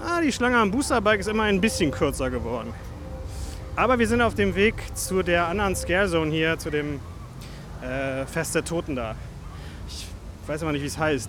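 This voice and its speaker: Very wide pitch swings at a moderate pace, with long, frequent pauses and music in the background. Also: man, high pitch for a man. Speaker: podcast host. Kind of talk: walking vlog-style commentary. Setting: outdoors in a theme park. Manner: casual, chatty.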